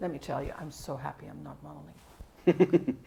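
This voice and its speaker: A woman with a Dutch accent. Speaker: linguistics professor. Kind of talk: interview. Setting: colloquium.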